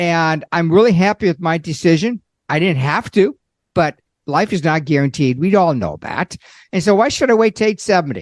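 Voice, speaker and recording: A man talks with a high pitch and lively intonation. His pace is moderate. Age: 60s. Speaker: Social Security expert, accountant. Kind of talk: podcast interview.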